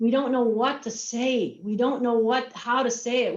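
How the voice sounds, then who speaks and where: A woman with a high-pitched voice speaks at a fairly slow pace in an energetic tone. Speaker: marketing and communications executive. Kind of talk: virtual presentation.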